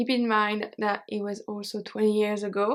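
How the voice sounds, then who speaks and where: Against a silent background in a very clean recording, a woman speaks fairly slowly with a French accent. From Belgium. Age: 30s. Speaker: YouTuber and French teacher. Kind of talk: personal vlog storytelling.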